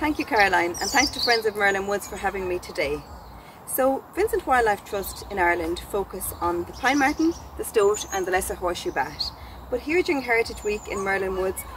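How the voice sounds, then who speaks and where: A woman talks at a fairly quick pace. The sound is dry with no echo, with light background noise. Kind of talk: educational talk to camera. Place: forest.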